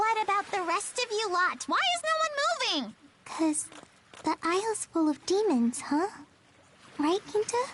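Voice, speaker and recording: In a put-on character voice, a female-sounding speaker pitched extremely high leaves long, frequent pauses. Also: moderate pace. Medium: video game. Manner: bratty, dramatic.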